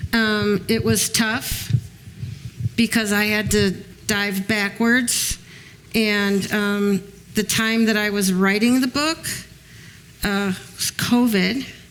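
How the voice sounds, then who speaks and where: Very slow pace in an American accent, fairly even intonation and long, frequent pauses amid noticeable background noise. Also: woman, medium pitch for a woman. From Chicago. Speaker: author and former mob wife. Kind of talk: panel talk with audience. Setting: museum event with audience. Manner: hesitant, many ums.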